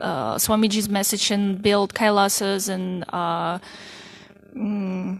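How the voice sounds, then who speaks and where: The speaker talks very slowly in a Russian accent. The intonation stays monotone and flat. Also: woman, medium pitch for a woman. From southern Russia. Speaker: spiritual devotee. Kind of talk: interview. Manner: halting.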